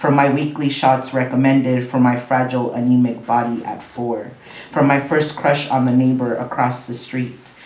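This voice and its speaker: Over noticeable background noise and audible room echo, a man talks at a moderate pace and medium pitch in monotone, flat intonation. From Mexico, then Southern California and Las Vegas. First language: Spanish. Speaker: poet. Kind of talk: poetry reading.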